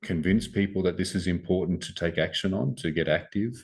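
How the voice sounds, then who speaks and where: The background stays quiet. A man talks with a very deep, low pitch. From Australia. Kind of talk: interview answer. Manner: quietly spoken.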